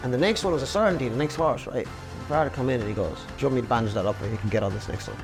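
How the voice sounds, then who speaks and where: Over music in the background, a man with an Irish accent and medium pitch talks at a very fast pace with very wide pitch swings. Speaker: jockey. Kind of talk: podcast interview answer. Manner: casual, anecdotal.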